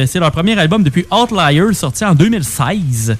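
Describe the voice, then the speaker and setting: With music playing in the background, a man speaks very slowly at a fairly high pitch, his voice making very wide pitch swings. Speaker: radio co-host, music and gaming news. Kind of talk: casual chat.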